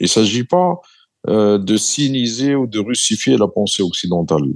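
The background stays quiet. A man speaks fairly slowly. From southern Algeria, M'zab valley. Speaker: former central bank governor. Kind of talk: interview.

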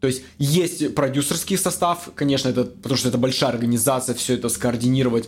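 A man speaks in an ordinary speaking voice. His pitch variation is ordinary. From Russia, Magnitogorsk, Chelyabinsk region. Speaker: former film crew worker turned IT specialist. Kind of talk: casual interview chat. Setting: studio podcast, drinking wine.

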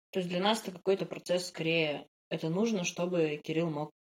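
A woman's plain, everyday voice at a fairly low pitch, with ordinary pitch variation and a moderate pace. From Russia, Yekaterinburg (Urals). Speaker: podcast co-host, product manager. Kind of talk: casual chat.

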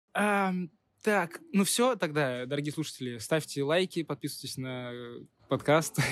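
With long, frequent pauses, a man speaks at a fairly slow pace in a fairly high pitch, his intonation lively. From Russia, Nizhny Novgorod. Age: young. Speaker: podcast host, student. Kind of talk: casual interview.

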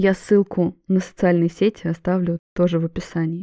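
A woman speaks at a moderate pace in a fairly low voice, her tone warm and calm as well as dark and mellow, with a dry, close sound and no echo. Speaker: psychologist and podcast host. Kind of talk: solo podcast monologue. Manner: warm, calm.

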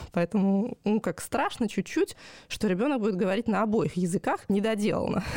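A woman's dark, mellow voice sits at a medium pitch and moves at a moderate pace. Her loudness is very even, and the sound is dry and close with no echo. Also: ordinary pitch variation. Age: 30s. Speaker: language teacher and parent. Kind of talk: casual chat. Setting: remote recording.

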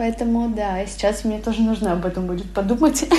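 Over noticeable background noise, a woman talks at a moderate pace and a fairly high pitch, with ordinary pitch variation. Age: 30s. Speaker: podcast host. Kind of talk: casual chat.

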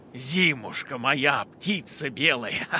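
Speaking at a fairly slow pace, a man with fairly high pitch uses lively intonation. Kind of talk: children's radio play.

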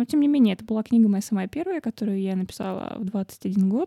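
Her fairly high voice is somewhat breathy with a dark, mellow tone, and the woman is recorded very cleanly, dry and close with no echo against a silent background. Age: 30s. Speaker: writer and podcast host. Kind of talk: casual monologue. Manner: animated.

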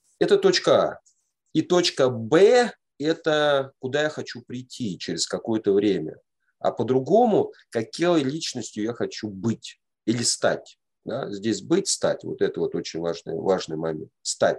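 The voice moves at a fairly slow pace, with big swings in loudness. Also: man. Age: 40s. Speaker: men's group facilitator. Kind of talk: lecture.

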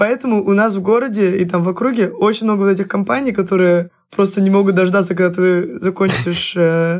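Speaking at a moderate pace in an ordinary speaking voice, a woman keeps a medium pitch with ordinary variation. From Russia, Saint Petersburg. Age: 20s. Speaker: university student. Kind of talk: casual chat.

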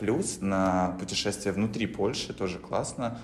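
A man's fairly low, fairly even voice at a fairly slow pace, with audible room echo. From Belarus. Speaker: podcast host. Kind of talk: casual chat.

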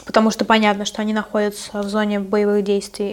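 This woman's voice sits at a fairly high pitch. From Russia. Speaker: podcast host and journalist. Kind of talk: casual chat.

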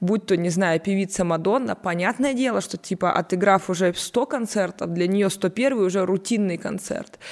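A woman with a normal speaking voice talks at a moderate pace with hardly any pauses. Her pitch is medium, with ordinary pitch variation. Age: 20s. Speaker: communications agency partner. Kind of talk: casual chat.

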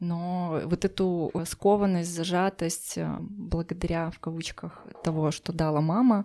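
A woman's dark, mellow, fairly low-pitched voice at a very slow pace, with fairly even intonation, in a very clean recording with a silent background. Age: 30s. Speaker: psychologist. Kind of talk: personal story interview.

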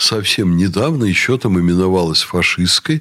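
With lively intonation, a man speaks in a plain, everyday voice at a fairly low pitch. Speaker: university rector. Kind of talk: radio talk show interview. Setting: studio.

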